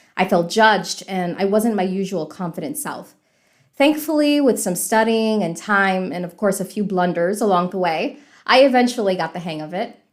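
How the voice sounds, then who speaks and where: In a very clean recording with a silent background, a woman with an American accent uses an ordinary speaking voice at medium pitch, moving at a moderate pace with lively intonation and big swings in loudness. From US South, Miami, Florida. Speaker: podcast host, English teacher. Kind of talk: podcast introduction, casual chat.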